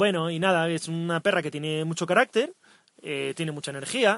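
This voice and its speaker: A man talks at a fairly quick pace in an unremarkable speaking voice, his pitch fairly high with ordinary variation. The sound is dry and close, with no echo. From Asturias, northern Spain. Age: 20s. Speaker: cycle tourist podcast co-host. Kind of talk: casual chat. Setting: outdoors.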